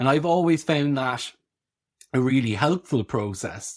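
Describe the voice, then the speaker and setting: Over a silent background in a very clean recording, an unremarkable speaking voice moves at a fairly slow pace with lively intonation. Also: man. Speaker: podcast host and practitioner. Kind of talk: podcast conversation.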